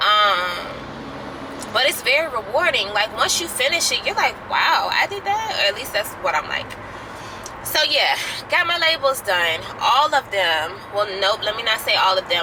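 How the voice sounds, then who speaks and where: The speech comes at a moderate pace. Noticeable background noise can be heard. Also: woman. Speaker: small skincare business owner, vlogger. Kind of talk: casual vlog update. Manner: hesitant, filler-heavy.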